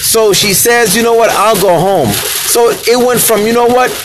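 A man speaks amid noticeable background noise, with room echo clearly audible. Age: 40s. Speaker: podcast host. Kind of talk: casual monologue. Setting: in a car.

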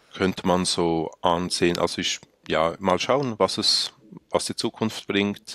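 A man talks at a very slow pace in a very deep, low voice. The sound is dry and close, with no echo. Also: ordinary pitch variation. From Mongolia, Swiss family; in Switzerland from age 16. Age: 30s. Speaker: cantonal politician. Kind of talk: interview conversation.

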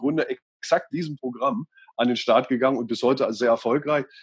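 Here a man speaks in a plain, everyday voice. His pitch is fairly high, with ordinary pitch variation. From Lower Saxony, Göttingen. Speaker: radio and TV presenter, mediator. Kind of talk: interview. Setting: video call.

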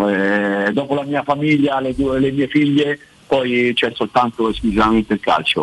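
Noticeable background noise sits behind a man's voice. His pitch varies in an ordinary way, and the sound is dry and close with no echo. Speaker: football coach. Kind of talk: radio interview about football.

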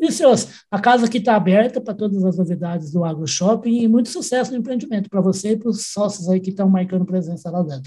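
Talking at a very fast pace, a man with a high pitch and a dark, mellow tone shows ordinary pitch variation. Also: hardly any pauses. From Brazil, Uberaba, Minas Gerais. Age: old. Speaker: podcast host. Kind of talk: interview.

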